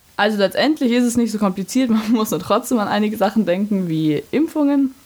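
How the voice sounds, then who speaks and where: There's lively intonation in this woman's speech. Her voice has a somewhat breathy quality. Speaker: university student. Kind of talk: interview.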